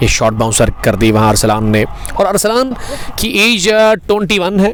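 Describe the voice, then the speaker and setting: With music playing behind him, a man talks at a moderate pace, his pitch swinging very widely. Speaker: cricket commentator. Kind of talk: live commentary. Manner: animated.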